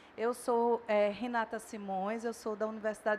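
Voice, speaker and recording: A woman with a northeastern Brazilian accent, fairly high in pitch, at a moderate pace. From Northeast Brazil. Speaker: dentistry professor. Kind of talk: lecture.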